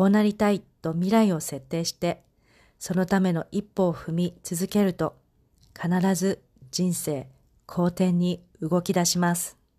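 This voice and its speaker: Her tone dark and mellow, a woman speaks in a flat monotone at a fairly slow pace against a quiet background. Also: fairly low pitch for a woman. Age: 40s. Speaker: podcast host and life coach. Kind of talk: scripted monologue.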